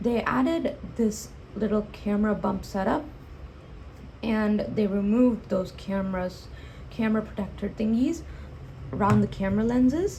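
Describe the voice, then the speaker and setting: Audible room echo surrounds the speaker. A woman talks with long, frequent pauses. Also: medium pitch for a woman, ordinary pitch variation, moderate pace. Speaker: tech reviewer. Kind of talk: product review. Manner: halting, many self-corrections.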